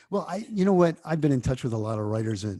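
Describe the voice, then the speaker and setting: A man with a New York accent talks very fast in a dark, mellow, somewhat breathy tone with lively intonation, recorded very cleanly against a silent background. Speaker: TV network founder and author. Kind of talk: interview.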